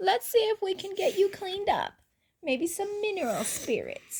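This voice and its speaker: At a moderate pace, a woman performs a put-on character voice with an extremely high pitch. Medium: read story.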